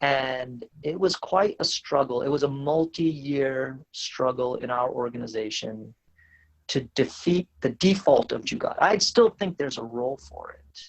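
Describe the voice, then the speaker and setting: This man has an American accent and a fairly high voice with lively intonation. He talks at a fairly slow pace, and his loudness swings widely. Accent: American, sounds foreign to Indians. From US, West Virginia. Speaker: startup CEO. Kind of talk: podcast interview.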